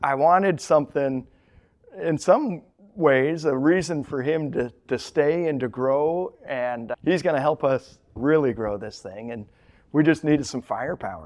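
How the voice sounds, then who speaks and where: A man speaks at a fairly slow pace in a normal speaking voice. His pitch is fairly high with ordinary variation, and his loudness swings widely. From Colorado. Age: 40s. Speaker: packaging company owner. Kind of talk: interview.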